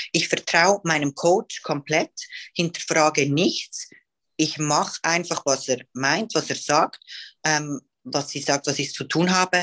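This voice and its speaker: The woman's pitch is very deep and low, with ordinary variation, and her pace is very slow. The sound is dry and close, with no echo. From Switzerland. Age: 20s. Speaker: professional bodybuilding athlete. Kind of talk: casual interview.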